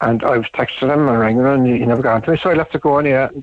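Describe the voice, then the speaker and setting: A man with an Irish accent speaks at a very fast pace. His voice sits at medium pitch with fairly even intonation. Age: 60s. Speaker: radio caller. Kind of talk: radio phone-in.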